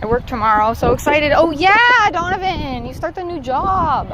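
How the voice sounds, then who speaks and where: A woman with an American accent and lively intonation, over noticeable background noise. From Southern California. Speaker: livestreamer. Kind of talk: casual chat. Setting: outdoors in a park.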